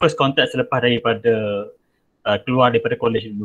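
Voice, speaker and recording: A man speaks with monotone, flat intonation. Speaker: bank manager. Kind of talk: webinar presentation. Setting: video call. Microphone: headset.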